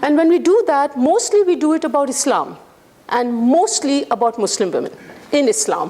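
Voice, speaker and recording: Her voice is high-pitched with very wide pitch swings, and the woman keeps a moderate pace over noticeable background noise. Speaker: guest lecturer. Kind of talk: lecture. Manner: loud.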